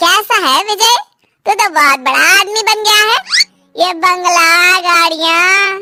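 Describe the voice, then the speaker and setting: A woman speaks in a cartoonish character voice, pitched extremely high, at a fairly slow pace with very even loudness. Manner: calm, sincere.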